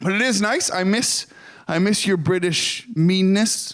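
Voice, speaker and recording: A man speaks with a Canadian accent. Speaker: stand-up comedian. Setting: stage.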